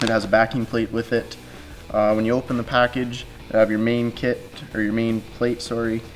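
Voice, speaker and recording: Music plays faintly behind the speech. The voice belongs to a man. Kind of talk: tutorial. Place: workshop.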